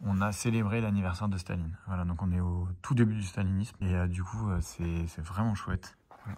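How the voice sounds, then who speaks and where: A man with a very deep, low voice and a dark, mellow tone. His intonation stays fairly even. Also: fairly quick pace. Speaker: history teacher and comic artist. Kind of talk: casual collection show-and-tell video. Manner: casual, hesitant with many fillers; fast.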